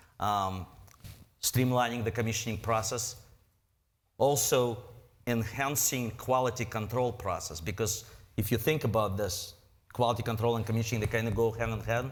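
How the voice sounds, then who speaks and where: A man with a non-native accent talks at a moderate pace and medium pitch, somewhat breathy, with fairly even intonation. He takes long, frequent pauses, and room echo is audible. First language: not English. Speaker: presenter. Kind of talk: lecture; audience Q&A. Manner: halting.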